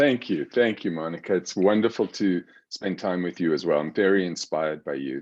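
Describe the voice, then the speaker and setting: A man with a very deep, low voice speaks in a South African accent at a fairly quick pace, with ordinary pitch variation. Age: 60s. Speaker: psychiatrist. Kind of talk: interview.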